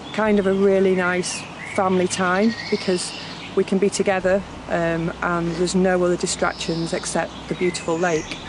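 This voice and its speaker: A woman's monotone, flat delivery, dry with no echo, over noticeable background noise. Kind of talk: interview answer. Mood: warm, reflective. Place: waterside.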